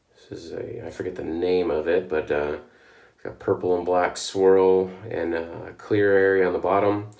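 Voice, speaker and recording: Noticeable noise sits behind speech delivered at a moderate speed. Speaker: shaving video host. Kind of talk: casual vlog talk. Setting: at home. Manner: halting with many fillers.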